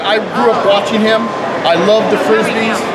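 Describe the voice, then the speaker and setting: A man talks over loud background noise. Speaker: fan host. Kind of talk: casual talk to camera. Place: hall. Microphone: camera far.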